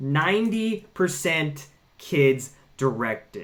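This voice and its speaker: A man speaks in a raised, projected voice with a bright, sharp tone. His pitch swings very widely. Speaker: toy news commentator. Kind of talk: casual video commentary reading posts. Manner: animated, excitable.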